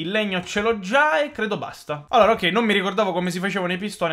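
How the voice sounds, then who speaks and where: A man is talking. His voice has a bright, sharp tone. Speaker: gaming YouTuber; gaming youtuber. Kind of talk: gameplay commentary. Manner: animated. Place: home room.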